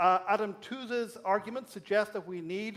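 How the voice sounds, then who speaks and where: Speaking at a moderate pace, a man with a slight Irish accent uses a high pitch and ordinary pitch variation. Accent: Irish brogue, slight. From Ireland. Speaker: academic speaker. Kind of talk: public lecture.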